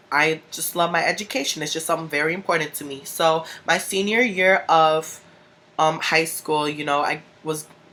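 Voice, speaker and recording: A woman talks with a Chicago accent in a very deep, low pitch. Her intonation is fairly even, while her loudness swings widely. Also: moderate pace. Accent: Chicago speech. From US Midwest, Chicago. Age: 20s. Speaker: vlogger. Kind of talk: personal vlog. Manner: casual, filler-heavy.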